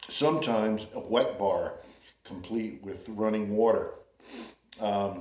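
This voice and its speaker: A relaxed man with an American accent, speaking at a very slow pace, with long, frequent pauses and audible room echo. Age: 60s. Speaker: vlogger. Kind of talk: casual monologue. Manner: relaxed, halting with fillers.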